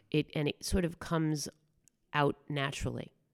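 A woman speaks at a moderate pace in a very deep, low voice with fairly even intonation, recorded with a dry, close sound and no echo. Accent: American. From New York, Bronx and southern Westchester. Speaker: musical theater performer and impressionist. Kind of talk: interview.

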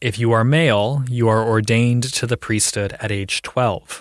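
A man with an American accent and a plain, everyday voice speaks at a moderate pace and medium pitch. The recording is very clean with a silent background, dry and close with no echo. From Ohio. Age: adult. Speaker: storyteller. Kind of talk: scripted narration.

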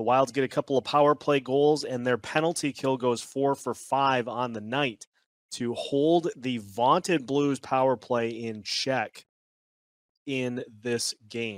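This man has a plain, everyday voice at medium pitch and a fairly slow pace. The sound is dry and close with no echo. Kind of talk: game recap. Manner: upbeat, conversational, checklist-style.

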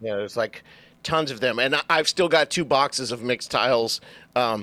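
At a fairly quick pace, a man with a medium pitch and ordinary pitch variation speaks in a bright, sharp tone, with a dry, close sound and no echo. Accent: American. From Southern California, Orange County. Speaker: real estate agent. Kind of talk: casual interview.

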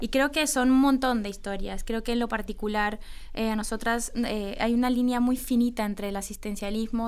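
This is a woman with a normal speaking voice. She talks at a moderate pace in a fairly high pitch. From Colombia. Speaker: women's football coach and former player. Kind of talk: radio interview.

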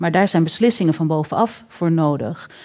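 A woman talks at a very fast pace with a fairly low pitch and ordinary pitch variation. Her tone is dark and mellow. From Netherlands. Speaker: writer and researcher. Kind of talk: panel discussion. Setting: stage with audience.

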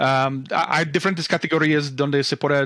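This man speaks fairly slowly in a fairly high voice, with ordinary pitch variation. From US Midwest, Omaha, Nebraska. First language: English (speaking Spanish). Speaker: real estate investor. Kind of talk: interview. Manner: halting, many repetitions and fillers.

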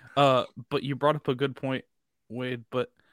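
In a Southern US accent, a man speaks with a bright, sharp tone and a dry, close sound with no echo. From Mississippi. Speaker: sports podcast co-host. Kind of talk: casual chat.

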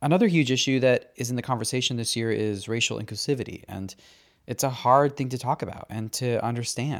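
With a plain, everyday voice, a man speaks at a medium pitch and a fairly quick pace. Pitch variation is ordinary, and the recording is very clean with a silent background. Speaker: podcast host. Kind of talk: podcast interview.

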